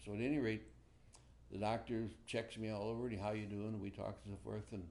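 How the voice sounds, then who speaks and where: Fairly quick speech from a man with a Midwestern US accent, fairly low in pitch with a dark, mellow tone, and audible room echo. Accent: US Midwest. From Ohio. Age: 80s+. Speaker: war veteran. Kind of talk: oral history interview. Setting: at home. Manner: halting.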